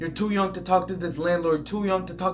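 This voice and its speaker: Over music in the background, a man with a high pitch speaks in an intense tone with monotone, flat intonation. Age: 20s. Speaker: online entrepreneur, Airbnb host. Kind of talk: motivational talk to camera. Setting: talking to camera. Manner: aggressive, intense.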